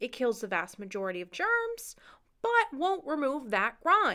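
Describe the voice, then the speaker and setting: A woman uses a raised, projected voice with a bright, sharp tone and high pitch, swinging very widely in pitch. Her pace is fairly slow. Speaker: medical equipment seller. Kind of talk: product tutorial.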